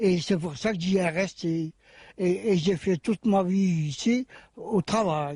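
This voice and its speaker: This man has a high pitch, ordinary pitch variation and a dark, mellow tone, speaking very slowly. The sound is dry and close with no echo, and his loudness is very even. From Belgium, Seraing (Liège area). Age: 80s+. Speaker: retired steelworker. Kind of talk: interview. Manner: halting.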